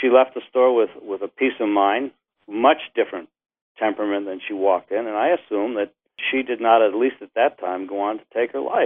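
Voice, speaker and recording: The pace here is fairly quick, with ordinary pitch variation. It is an ordinary speaking voice. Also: man, medium pitch for a man. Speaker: retired gun shop owner. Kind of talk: interview.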